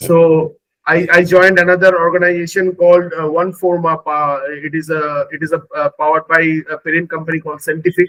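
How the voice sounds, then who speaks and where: With a dry, close sound and no echo, a man with a high pitch talks at a fairly quick pace in a monotone, flat intonation, with hardly any pauses. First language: Bengali. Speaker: AI engineer, former recruiter. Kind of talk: interview testimony. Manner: halting, many fillers.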